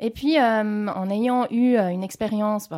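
On a very clean recording with a silent background, a woman uses an unremarkable speaking voice, pitched fairly high with ordinary pitch variation. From French-speaking Switzerland, Geneva area. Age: 40s. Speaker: intensive care nurse. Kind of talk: interview testimony.

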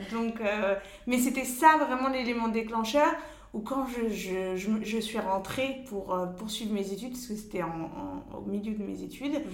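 Amid noticeable background noise and audible room echo, a woman talks fairly slowly at a fairly high pitch with ordinary pitch variation. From Paris, France. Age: 30s. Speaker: travel blogger and mother. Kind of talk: interview. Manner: hesitant, many fillers.

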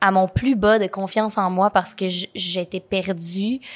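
Against a silent background in a very clean recording, a woman at medium pitch speaks at a very slow pace. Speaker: content creator and entrepreneur. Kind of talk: interview. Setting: studio.

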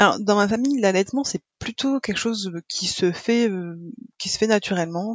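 A woman speaks at a moderate pace and a medium pitch with ordinary variation. The sound is dry and close, without echo. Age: 30s. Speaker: mother sharing breastfeeding experience. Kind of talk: interview testimony. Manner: halting, many hesitations and repetitions.

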